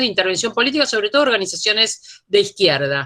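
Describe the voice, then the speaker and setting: Her bright, sharp voice comes through on a very clean recording with a silent background. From Argentina. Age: 60s. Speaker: feminist academic. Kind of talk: panel talk.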